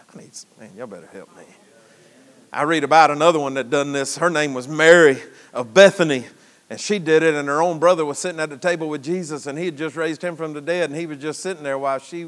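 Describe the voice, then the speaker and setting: Talking at a very fast pace in a Southern US accent, a man with a fairly high voice sounds animated, his loudness swinging widely. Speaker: preacher. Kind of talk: sermon. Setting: church. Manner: folksy, joking, interactive with the congregation; animated, exhorting, preaching cadence.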